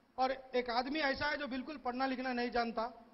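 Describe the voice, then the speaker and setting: An extremely high-pitched man with a Hyderabadi accent speaks at a moderate pace with fairly even intonation. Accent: Hyderabadi Dakhini. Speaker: stand-up comedian. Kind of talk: stand-up comedy storytelling.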